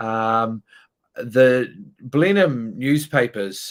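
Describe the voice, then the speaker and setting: A man at medium pitch with a New Zealand accent and lively intonation. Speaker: musician. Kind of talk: live stream hosting. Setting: online live stream. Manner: hesitant, many fillers.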